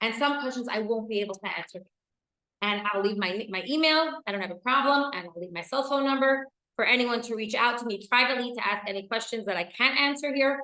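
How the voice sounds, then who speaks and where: A loud woman with an American accent, fairly high-pitched, talking at a very fast pace, her tone bright, sharp and passionate, with ordinary pitch variation. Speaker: women's educator and speaker. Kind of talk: lecture. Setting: stage with live audience. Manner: loud, passionate.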